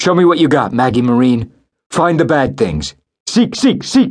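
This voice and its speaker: Using a put-on character voice, a man speaks at a moderate pace. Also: fairly high pitch for a man. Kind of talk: authoritative command voice. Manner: firm, commanding.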